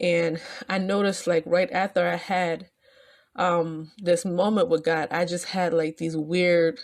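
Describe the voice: A woman speaks with a fairly low pitch at a fairly slow pace. Her voice shows little pitch movement.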